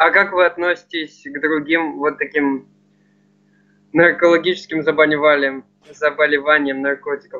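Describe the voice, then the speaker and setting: Over a quiet background, a man talks in a fairly high pitch with a monotone, flat delivery and long, frequent pauses. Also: moderate pace. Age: young. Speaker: viewer asking questions; interviewer asking questions. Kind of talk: casual chat. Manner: polite. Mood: polite, curious. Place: home room. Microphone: video call.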